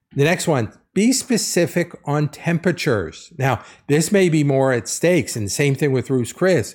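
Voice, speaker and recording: A man with a plain, everyday voice, fairly high in pitch, with lively intonation at a moderate pace. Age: 50s. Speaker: podcast host. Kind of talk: solo commentary podcast.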